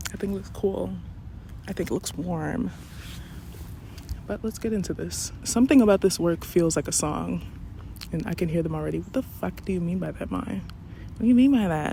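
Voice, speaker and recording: A woman talks at a fairly quick pace but with long, frequent pauses. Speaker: poet and vlogger. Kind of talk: personal vlog monologue.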